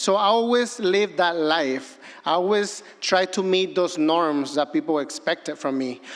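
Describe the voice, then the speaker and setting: The speaker talks at a moderate pace with a Mexican accent. The intonation is lively. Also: man. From Mexico, Acapulco, Guerrero. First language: Spanish. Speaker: filmmaker. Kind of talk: personal storytelling speech.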